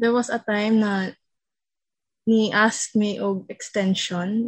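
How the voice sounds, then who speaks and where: A woman with a Visayan Filipino accent speaks at a medium pitch and sounds somewhat breathy. Her intonation is fairly even, and the background is quiet. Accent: Filipino (Cebuano) English. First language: Cebuano. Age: 20s. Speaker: university student. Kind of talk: casual chat.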